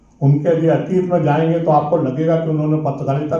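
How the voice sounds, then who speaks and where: Over noticeable background noise and audible room echo, a man speaks at a fairly high pitch. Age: 60s. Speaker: veteran print journalist. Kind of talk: speech at a conference.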